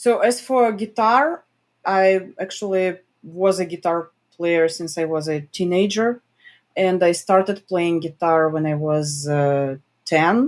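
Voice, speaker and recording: In a very clean recording with a silent background, a woman speaks at a fairly slow pace with a Russian accent. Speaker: journalist. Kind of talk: interview.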